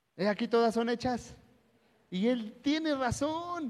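This man speaks in an animated tone at a fairly slow pace. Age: 30s. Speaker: pastor. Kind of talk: sermon.

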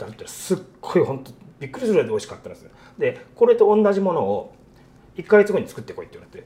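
A man speaks at a very fast pace. His loudness swings a lot. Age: 50s. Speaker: restaurant owner chef. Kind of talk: interview.

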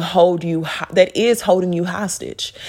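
An animated woman speaks at a medium pitch against noticeable background noise. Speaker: podcaster. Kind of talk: pep talk, warm faith-based encouragement. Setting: solo recording. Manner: animated, encouraging, direct; casual, chatty, laughs often.

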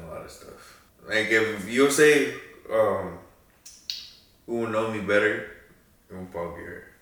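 At a moderate pace, the speech has big swings in loudness and long, frequent pauses. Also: man. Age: 20s. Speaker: host's brother. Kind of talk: casual chat.

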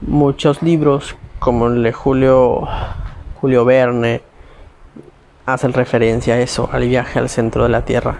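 With noticeable background noise behind him, a man talks at a fairly slow pace with long, frequent pauses, using a medium pitch and a flat, monotone delivery. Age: 20s. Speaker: podcast host. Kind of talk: solo monologue on conspiracy theories. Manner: halting, self-correcting.

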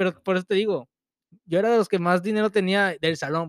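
A man's very fast speech with ordinary pitch variation, dry and close with no echo. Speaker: podcast co-host. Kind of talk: casual chat. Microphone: too quiet, not close to mic.

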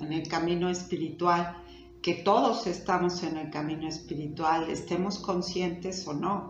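Over noticeable background noise and audible room echo, a woman speaks at a fairly slow pace with a fairly low pitch. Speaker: spiritual teacher. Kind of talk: talk and guided meditation. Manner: soft-spoken.

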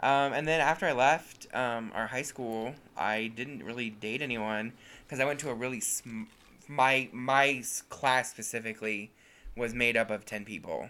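At a moderate pace, a man speaks with a bright, sharp tone, medium pitch and fairly even intonation. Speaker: podcast co-host. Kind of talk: casual chat.

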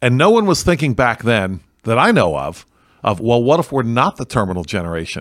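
On a very clean recording with a silent background, a man of medium pitch talks fairly quickly with very wide pitch swings. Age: 60s. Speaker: pastor. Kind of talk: casual interview discussion on theology. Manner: halting.

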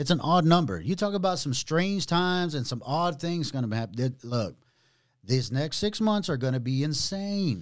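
Here a man has a normal speaking voice with a fairly high pitch and lively intonation at a moderate pace. The recording is very clean, with a silent background. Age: 30s. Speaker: podcast host, ex-prisoner. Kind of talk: casual interview conversation.

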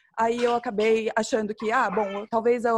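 On a very clean recording with a silent background, a woman uses a normal speaking voice at a fairly high pitch and moderate pace. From Campo Grande, Mato Grosso do Sul, Brazil. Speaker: graduate researcher. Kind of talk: panel discussion.

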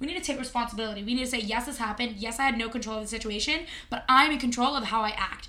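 Over noticeable background noise, a woman speaks very fast in a high, animated voice with ordinary pitch variation. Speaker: podcast co-host. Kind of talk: casual banter chat. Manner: joking, animated.

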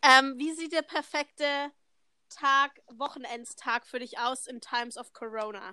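A woman's raised, projected voice sits high in pitch, with a bright, sharp tone and ordinary pitch variation. Her loudness swings widely, and the sound is dry and close with no echo. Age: young. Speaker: au pair, podcast co-host. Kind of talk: casual chat. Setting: video call, outdoors on terrace.

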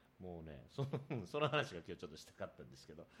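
Speaking at a very fast pace, a man uses a low pitch with big pitch swings and a fairly bright tone.

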